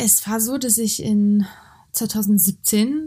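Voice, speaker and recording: The recording is very clean, with a silent background. A woman speaks in a somewhat breathy, dark, mellow tone. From Hungary and Germany (born in Georgia). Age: 20s. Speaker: activist, author and actress. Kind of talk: interview. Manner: halting, many fillers.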